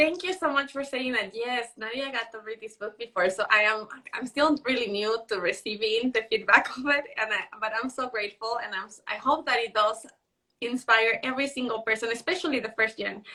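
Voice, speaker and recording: A woman talks at a fairly quick pace in a fairly high pitch, with ordinary pitch variation. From Mexico. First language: Spanish. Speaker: author and live show host. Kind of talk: Instagram live conversation. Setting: Instagram live video stream.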